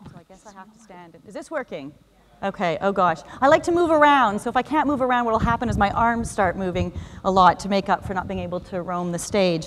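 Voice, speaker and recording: A woman at a medium pitch with a Canadian accent, a very fast pace, very wide pitch swings and big swings in loudness. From Canada. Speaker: UX design director, conference speaker. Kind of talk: conference talk. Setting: stage with audience. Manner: animated.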